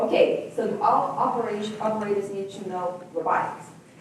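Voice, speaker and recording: A woman at a medium pitch is heard through noticeable background noise. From Brazil. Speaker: corporate executive. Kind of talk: panel Q&A presentation.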